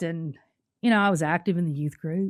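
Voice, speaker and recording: Ordinary pitch variation from a woman with a Southern US accent. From US South, Nashville, Tennessee. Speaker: testimony guest. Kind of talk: testimony. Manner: halting, repeats words.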